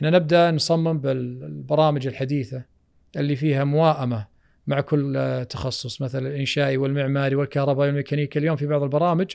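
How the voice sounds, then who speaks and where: With a plain, everyday voice, a man talks at a moderate pace and a fairly high pitch. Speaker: architect. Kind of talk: casual chat.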